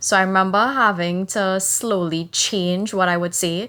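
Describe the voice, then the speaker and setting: A woman speaks with a Trinidadian accent. Her pace is fairly slow. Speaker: podcast co-host. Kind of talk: casual podcast chat.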